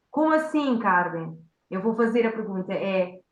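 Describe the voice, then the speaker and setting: A woman speaks at a fairly quick pace with a fairly high pitch, and the room echo is audible. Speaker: communication coach. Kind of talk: workshop talk. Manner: fast.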